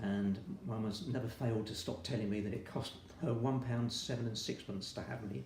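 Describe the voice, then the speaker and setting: The speaker moves at a fairly quick pace with ordinary pitch variation, amid noticeable background noise and audible room echo. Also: man, medium pitch for a man. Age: 70s. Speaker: retired army veteran, patient. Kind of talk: interview testimony.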